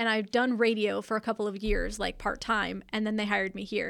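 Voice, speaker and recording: Against a very clean recording and silent background, a woman with an unremarkable speaking voice talks at a fairly quick pace, with a fairly high pitch and fairly even intonation. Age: 40s. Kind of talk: casual chat. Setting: studio.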